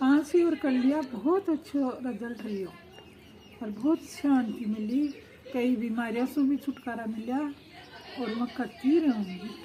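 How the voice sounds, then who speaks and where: A woman's high-pitched voice, with ordinary pitch variation, is heard through noticeable background noise. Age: 60s. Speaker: meditation course participant. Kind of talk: interview testimony.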